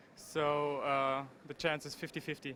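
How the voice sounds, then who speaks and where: The voice has a bright, sharp tone and a German accent. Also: man. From Germany. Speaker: pro gamer. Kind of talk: event interview. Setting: gaming convention floor.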